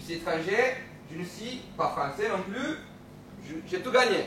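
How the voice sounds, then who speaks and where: A man with a Romanian accent speaks at a fairly slow pace, his pitch swinging very widely, with audible room echo and noticeable background noise. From Romania, Bucharest. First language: Romanian (speaking French). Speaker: law student. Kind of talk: speech contest talk.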